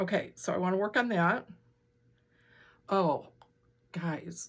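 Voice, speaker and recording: She has a plain, everyday voice at medium pitch with ordinary pitch variation. The woman talks fairly slowly in a very clean recording with a silent background. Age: 60s. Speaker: quilting and stitching vlogger. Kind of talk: casual chat. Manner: chatty, with many fillers and restarts.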